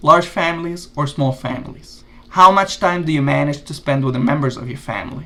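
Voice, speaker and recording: Speaking at a moderate pace, a man with vocal fry uses a bright, sharp tone and ordinary pitch variation. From Lebanon. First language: Arabic. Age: 30s. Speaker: YouTuber giving exam tips. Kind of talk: tutorial. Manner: casual, energetic.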